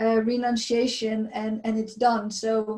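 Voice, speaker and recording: A woman with a non-native accent speaks at a fairly high pitch in a dark, mellow tone. Her intonation is monotone and flat. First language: not English. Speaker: abuse survivor sharing testimony. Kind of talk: testimony. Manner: halting, many fillers and repetitions.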